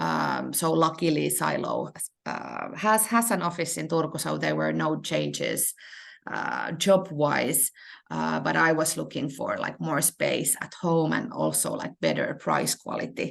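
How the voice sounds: A woman speaks at a slow pace with a low pitch, big pitch swings and vocal fry.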